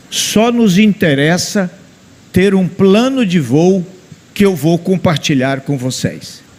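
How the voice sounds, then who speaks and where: With noticeable background noise, a man speaks at a very slow pace in a high pitch with lively intonation. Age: 70s. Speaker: engineering professor. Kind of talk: conference talk.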